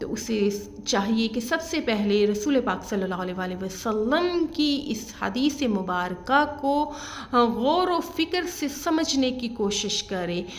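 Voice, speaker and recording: A woman speaks in a calm tone at a high pitch, with very wide pitch swings. Background noise is noticeable, and room echo is audible. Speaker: religious speaker. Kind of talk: religious lecture.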